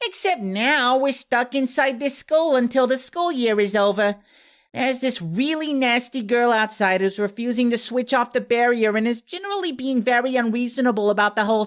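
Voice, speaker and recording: This put-on character voice comes through on a very clean recording with a silent background. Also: man, extremely high pitch for a man, moderate pace. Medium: read story. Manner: flustered.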